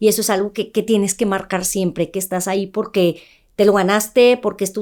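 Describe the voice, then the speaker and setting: A woman's fairly high voice at a moderate pace. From northern Mexico, Ciudad Juárez. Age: 30s. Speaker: journalist and news presenter. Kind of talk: interview testimony. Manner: firm.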